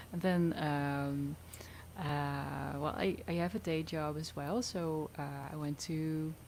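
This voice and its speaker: With a Dutch accent, a woman speaks very slowly in a very deep, low voice with fairly even intonation. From Netherlands. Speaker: singer-songwriter. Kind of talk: casual interview chat.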